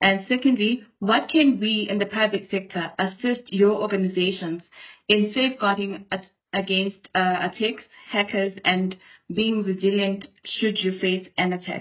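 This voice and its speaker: Speaking at a fairly slow pace, a woman sounds somewhat breathy, with fairly even intonation. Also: medium pitch for a woman. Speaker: webinar moderator. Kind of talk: reading audience questions.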